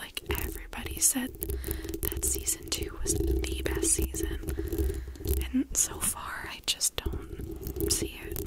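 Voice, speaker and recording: Someone whispers at a very slow pace. Noticeable background noise is present. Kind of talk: ASMR whisper ramble to camera. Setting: close to a bare mic with scratching sounds. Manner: whispered, rambling, casual.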